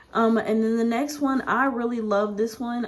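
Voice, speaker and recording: Over noticeable background noise, a woman speaks at a moderate pace in a fairly high voice. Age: 20s. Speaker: budgeting YouTuber. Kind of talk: casual vlog tutorial.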